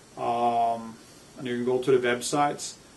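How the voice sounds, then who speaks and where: This is a man speaking. He has a Norwegian accent. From Norway. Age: 50s. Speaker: author. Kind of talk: personal biography monologue.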